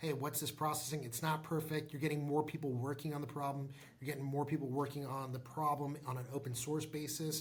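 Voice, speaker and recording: Somewhat breathy and delivered at a fairly quick pace, the voice stays monotone with flat intonation while audible room echo surrounds it. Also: man, fairly high pitch for a man. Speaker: tech startup founder and CEO. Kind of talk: interview. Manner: fast.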